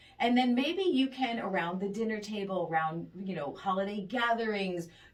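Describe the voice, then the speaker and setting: A woman's warm-toned voice over noticeable background noise. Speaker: radio show host giving advice. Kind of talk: radio advice segment. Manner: warm, empathetic.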